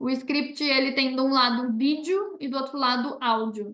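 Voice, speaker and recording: Her tone bright and sharp, a woman speaks fairly slowly at a high pitch with ordinary pitch variation. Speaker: university professor giving a talk. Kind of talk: online presentation with Q&A. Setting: video call.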